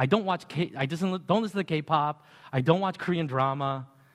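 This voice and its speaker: A man with an ordinary speaking voice talks at a fairly quick pace, his fairly high pitch showing ordinary variation, in a very clean recording with a silent background. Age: 50s. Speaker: pastor. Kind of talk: sermon. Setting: church with sound system.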